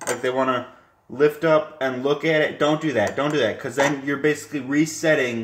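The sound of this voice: A man speaks at a moderate pace with a medium pitch. There is audible room echo.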